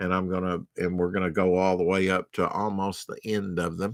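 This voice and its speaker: With a Southern US accent, a man speaks at a fairly slow pace in a very deep, low pitch, his bright, sharp tone heard as dry sound with no echo. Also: quiet background. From US South. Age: 50s. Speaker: comic book collector streamer; comic collector streamer. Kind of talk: live stream show-and-tell. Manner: casual, halting with fillers. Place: home room. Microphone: webcam.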